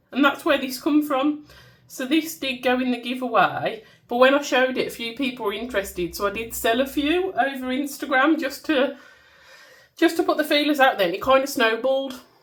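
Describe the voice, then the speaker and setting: High-pitched female voice, delivered at a fairly quick clip. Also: ordinary pitch variation. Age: 30s. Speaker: budgeting youtuber and small shop owner. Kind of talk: casual vlog. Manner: chatty.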